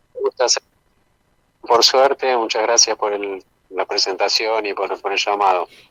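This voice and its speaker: With long, frequent pauses, a man talks at a fairly slow pace in a fairly low voice and fairly even intonation. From Argentina, Misiones (Puerto Iguazú). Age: 50s. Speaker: documentary filmmaker. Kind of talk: interview.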